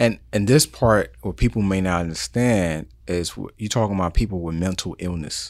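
In an American accent, a man speaks at a very deep, low pitch with ordinary pitch variation. He keeps a moderate pace with hardly any pauses. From New York City, the Bronx. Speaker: podcast host. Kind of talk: interview. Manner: energetic.

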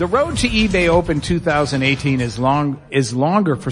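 An animated, playful tone comes through at a moderate pace. Noticeable noise runs in the background. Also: man. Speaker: radio host. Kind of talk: live radio show banter with audience. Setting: stage with live audience at convention. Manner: animated, playful showman.

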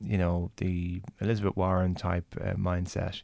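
In a very clean recording with a silent background, a man with an Irish accent speaks at a moderate pace. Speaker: senator and podcast host. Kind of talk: casual conversational interview.

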